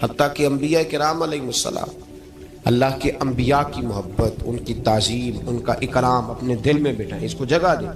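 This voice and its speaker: Music plays in the background as a man talks at a medium pitch. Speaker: Islamic scholar giving a religious sermon. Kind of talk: religious sermon (bayan).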